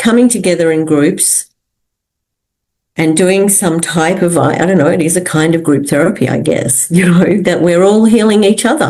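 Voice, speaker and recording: A woman with an unremarkable speaking voice and ordinary pitch variation. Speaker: soprano singer and social entrepreneur. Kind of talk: interview answer.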